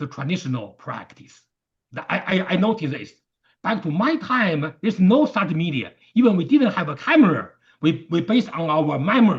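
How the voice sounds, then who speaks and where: A man with a Chinese accent speaks at a high pitch and a fairly quick pace, his pitch swinging very widely. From China. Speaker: martial arts teacher. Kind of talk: interview conversation. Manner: halting.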